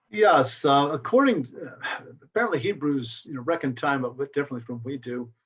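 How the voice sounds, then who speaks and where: A man with a fairly high voice talks at a fairly quick pace with hardly any pauses. His intonation is lively, and his loudness swings widely. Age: 60s. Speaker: astronomer. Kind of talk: casual chat. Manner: halting.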